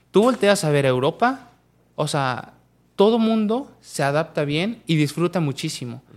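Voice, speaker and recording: Lively intonation over a very clean recording with a silent background. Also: man. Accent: central Mexican. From Mexico, Pachuca (Hidalgo). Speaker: professional footballer. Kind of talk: casual interview.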